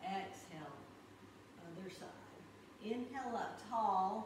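A woman at a fairly high pitch and a fairly slow pace, with noticeable background noise and audible room echo. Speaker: yoga instructor. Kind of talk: guided yoga class. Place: home room. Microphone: camera far.

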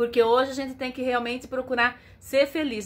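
This is a woman speaking with a high pitch. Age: 50s. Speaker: travel vlogger. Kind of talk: casual vlog address to viewers. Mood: warm, cheerful. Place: home room. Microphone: phone near.

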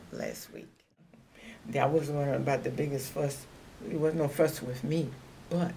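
Over light background noise, a woman speaks at a fairly slow pace with a very deep, low pitch. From Louisiana, US South. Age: 80s+. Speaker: retired aircraft assembly worker, WWII. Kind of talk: oral history interview answer. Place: home room.

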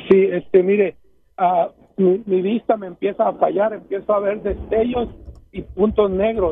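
A man talks at a high pitch and a fairly slow pace. His intonation is monotone and flat. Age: 60s. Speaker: caller. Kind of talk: phone call-in. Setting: phone call while driving. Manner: halting. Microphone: too quiet.

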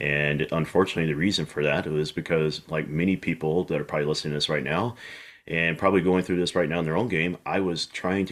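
Over a quiet background, a man talks very fast in a very deep, low voice with fairly even intonation. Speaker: podcast guest, golf instructor. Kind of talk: interview answer. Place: home room. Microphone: video call.

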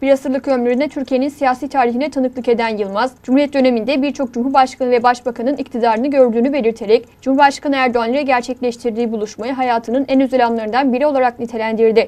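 Speaking very fast with hardly any pauses, a woman keeps her high voice monotone and flat. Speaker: news reporter. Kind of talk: TV news narration.

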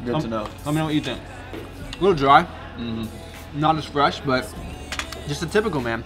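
With clear music behind him, the man's pitch varies in an ordinary way. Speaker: food vlogger. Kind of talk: casual vlog chat. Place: cafe. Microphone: phone near.

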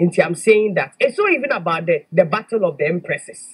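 A woman with a medium pitch and a husky, rough edge makes big swings in pitch as she talks.

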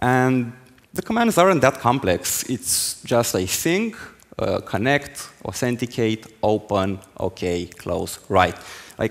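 Speaking at a very slow pace, a man uses lively intonation. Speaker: conference speaker. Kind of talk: technical talk. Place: stage. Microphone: headset.

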